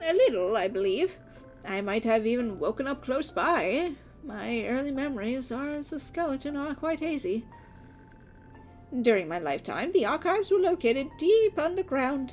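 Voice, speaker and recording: Over clear music in the background, a woman delivers a put-on character voice at a moderate pace. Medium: game stream. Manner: polite, old-fashioned, gentle.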